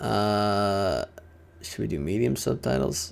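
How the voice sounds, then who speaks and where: The voice moves through an ordinary range of pitch, captured in a very clean recording with a silent background. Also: man. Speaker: gaming streamer. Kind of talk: live gameplay commentary. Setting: livestream. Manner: animated.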